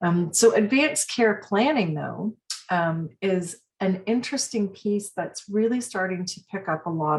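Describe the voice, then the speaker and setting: A woman speaks with a medium-pitched, somewhat breathy voice. Her intonation is lively and her pace moderate. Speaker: palliative care association executive. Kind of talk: webinar presentation. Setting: online webinar. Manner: halting, many fillers.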